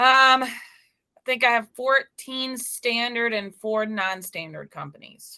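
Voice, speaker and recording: This woman speaks very slowly in an American accent, her high voice bright and sharp with ordinary pitch variation, on a very clean recording with a silent background. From US South, Memphis, Tennessee. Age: young. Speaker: insurance broker. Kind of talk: interview.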